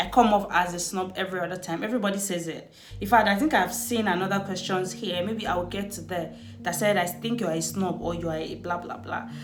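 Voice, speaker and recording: A woman talks very fast at a medium pitch with ordinary pitch variation, her voice carrying audible room echo over music in the background. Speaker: lifestyle vlogger. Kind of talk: casual chat.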